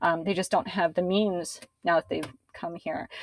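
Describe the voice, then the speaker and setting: Medium pitch from a woman's voice. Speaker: local council member and sustainability speaker. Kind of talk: presentation. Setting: video call. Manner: fast; casual, many filler words.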